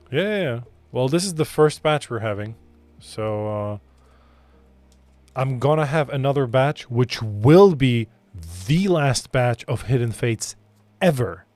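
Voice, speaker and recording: With music playing behind him, a man speaks fairly slowly at a medium pitch with lively intonation and long, frequent pauses. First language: Polish. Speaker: card shop owner and streamer. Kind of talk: live stream pack opening. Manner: casual.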